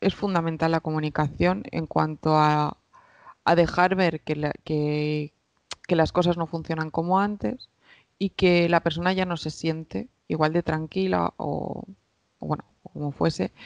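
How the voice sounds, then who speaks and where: A woman with a fairly low pitch and ordinary pitch variation, in a dry sound with no echo and a quiet background. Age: 20s. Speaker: psychologist; podcast guest. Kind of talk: interview. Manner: halting. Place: home room. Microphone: headset.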